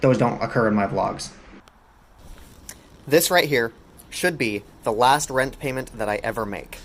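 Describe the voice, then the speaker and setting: A man with lively intonation over noticeable background noise. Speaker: vlogger. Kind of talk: casual reaction commentary. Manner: fast; animated.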